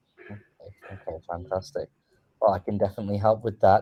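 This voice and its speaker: In an English accent, a man speaks with a dark, mellow tone. His pitch swings very widely. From England. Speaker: online English tutor. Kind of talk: casual chat.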